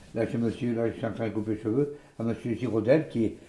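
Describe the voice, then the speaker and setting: The tone of this man's voice is dark and mellow. Its pitch moves in an ordinary way. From Gironde, southwest France. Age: 60s. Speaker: village hairdresser. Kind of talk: casual interview talk. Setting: in his hair salon while cutting hair. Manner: halting, many hesitations.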